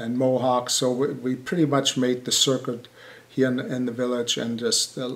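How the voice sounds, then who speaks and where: Monotone, flat intonation in a German accent. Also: man. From Germany. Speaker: building contractor. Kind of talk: interview. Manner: halting.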